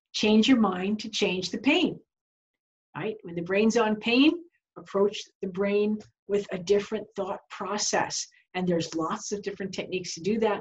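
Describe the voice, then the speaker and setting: Somewhat breathy woman's voice in an American accent, medium pitch, ordinary pitch variation, moderate pace. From New York. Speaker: continuing education instructor for health professionals. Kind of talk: webinar lecture. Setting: online webinar. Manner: conversational, frequent rhetorical questions.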